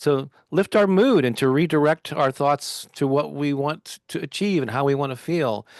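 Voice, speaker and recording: Speech with an American accent at a moderate pace, with ordinary pitch variation, in a dry, close sound with no echo against a quiet background. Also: man. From US Midwest, St. Louis, Missouri. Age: 60s. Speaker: author and affirmation video creator. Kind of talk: interview. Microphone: semi-pro home setup.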